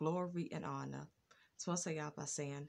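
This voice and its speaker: The speaker is a woman. Her voice sits very deep and low. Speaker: channel host. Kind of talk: religious blessing and praise. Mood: earnest, warm. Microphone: phone near.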